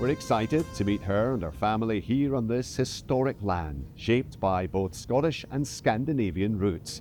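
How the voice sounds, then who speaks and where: With music in the background, a man of fairly low pitch speaks at a moderate pace with hardly any pauses and very wide pitch swings. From Scotland. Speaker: presenter, broadcaster. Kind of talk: documentary presenting to camera.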